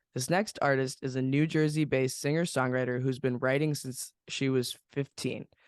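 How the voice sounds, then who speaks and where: A man with an unremarkable speaking voice, fairly high pitch, and a fairly quick pace, in a dry, close sound with no echo against a quiet background. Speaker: podcast host. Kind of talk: podcast intro read.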